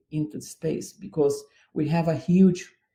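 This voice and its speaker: A man with a Brazilian accent, a high pitch, and a dark, mellow tone at a moderate pace. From southern Brazil. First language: Portuguese. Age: 60s. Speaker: dance artistic director. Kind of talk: radio interview. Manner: halting.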